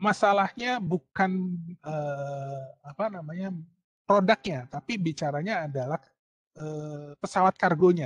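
This man's voice is fairly high in pitch and fairly slow, with a dry sound and no echo. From Indonesia. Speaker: university lecturer. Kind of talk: online lecture. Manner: hesitant with fillers. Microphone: video call.

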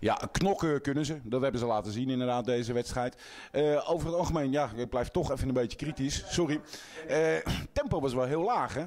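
Over noticeable background noise, a man with a fairly high pitch talks at a fairly quick pace, keeping his loudness very even and his pitch variation ordinary. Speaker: sports interviewer. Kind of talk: post-match interview.

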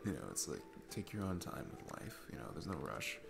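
Over clear music in the background, a man uses a put-on character voice, low-pitched with vocal fry and big pitch swings, at a fairly quick pace.

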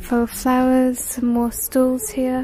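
A woman speaks slowly in a high-pitched voice with a dark, mellow tone and monotone, flat intonation, against faint background noise.

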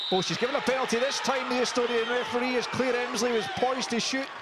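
A man speaks at an extremely high pitch. Noticeable background noise can be heard. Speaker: match commentator. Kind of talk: live match commentary.

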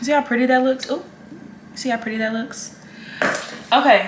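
A woman speaks at a high pitch and a moderate pace, with audible room echo around her. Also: fairly even intonation.

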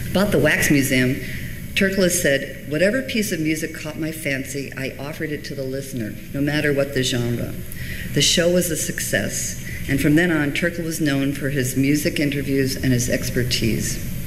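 Moderate pace and ordinary pitch variation, with noticeable background noise. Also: woman, very deep, low pitch for a woman. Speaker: reference librarian and archivist. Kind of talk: conference presentation. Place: hall. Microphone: podium.

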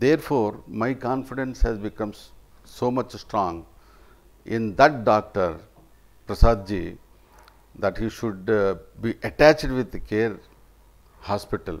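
With a Telugu accent, a man speaks at a fairly slow pace, leaving long, frequent pauses, and his pitch varies in an ordinary way. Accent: Indian English (Telugu region). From India (Andhra Pradesh). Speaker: retired government officer, patient. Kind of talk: patient testimonial. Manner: halting, with frequent fillers. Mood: grateful, appreciative. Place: home room. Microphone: lapel.

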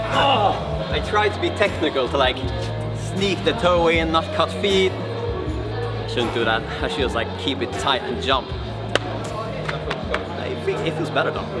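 Loud music plays in the background as a man speaks at a fairly slow pace with long, frequent pauses. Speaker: vlogger. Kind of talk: casual vlog chat. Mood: playful, laughing. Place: gym. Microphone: camera far.

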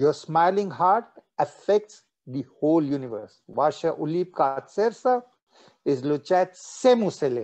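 A man's pitch swings very widely, with quiet in the background. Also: fairly slow pace. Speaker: meditation teacher. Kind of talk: guided meditation. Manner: switches between English and Russian. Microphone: video call.

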